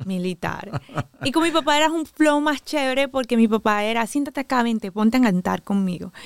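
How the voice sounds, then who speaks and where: A woman with a coastal Colombian accent talks at a fairly quick pace with lively intonation, the sound dry and close with no echo. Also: fairly high pitch for a woman. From Caribbean coast of Colombia. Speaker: DJ and violinist. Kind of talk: interview. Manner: swallows word endings when accent shows.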